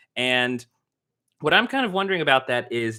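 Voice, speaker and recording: A man with an American accent, a medium pitch, a bright, sharp tone and a fairly quick pace. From US South. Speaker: film critic, YouTuber. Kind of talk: livestream commentary. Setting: indoors, sun through window glare. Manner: casual, halting with fillers.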